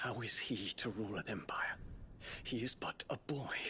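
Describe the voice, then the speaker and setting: A man's put-on character voice at medium pitch and moderate pace, with very even loudness over clear background noise. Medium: video game.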